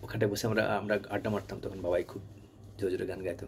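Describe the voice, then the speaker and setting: Over light background noise, a man speaks in a fairly low, somewhat breathy voice with a dark, mellow tone and monotone, flat intonation. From West Bengal, India. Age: old. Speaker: channel owner reminiscing; storyteller. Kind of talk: personal reminiscence monologue. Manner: halting. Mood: nostalgic, warm, smiling. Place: home room. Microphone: phone near.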